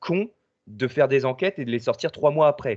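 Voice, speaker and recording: A man speaks at a moderate pace with ordinary pitch variation. The sound is dry and close with no echo, over a quiet background. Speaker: paranormal investigator and video editor. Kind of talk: casual chat. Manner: hesitant, many fillers.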